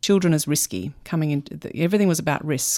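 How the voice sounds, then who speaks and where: This woman speaks in an Australian accent with ordinary pitch variation. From Melbourne, Australia. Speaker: criminology researcher. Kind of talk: radio interview. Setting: radio studio.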